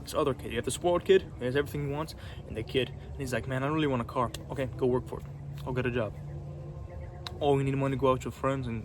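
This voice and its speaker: Amid noticeable background noise, a man of medium pitch speaks at a very fast pace but with long, frequent pauses. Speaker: self-improvement vlogger. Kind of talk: motivational monologue. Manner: animated; stutters at times.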